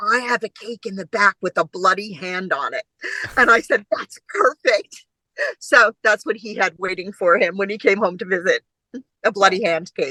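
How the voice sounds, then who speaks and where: A woman of medium pitch speaks at a moderate pace in an animated, bright, sharp tone, with ordinary pitch variation and big swings in loudness. The sound is dry and close with no echo. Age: 60s. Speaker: actor, mother of the director. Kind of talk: casual chat.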